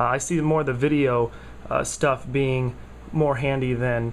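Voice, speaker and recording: Fairly even in intonation and medium in pitch, a man speaks while noticeable background noise is present. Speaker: tech vlogger. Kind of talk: casual product review vlog. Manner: halting, many fillers.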